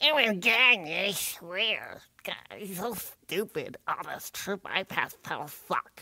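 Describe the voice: A put-on character voice at a middle pitch. It moves at a fairly slow pace with hardly any pauses.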